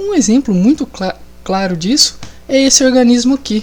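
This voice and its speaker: Lively intonation over noticeable background noise. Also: woman. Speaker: biology teacher. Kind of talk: lecture. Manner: casual.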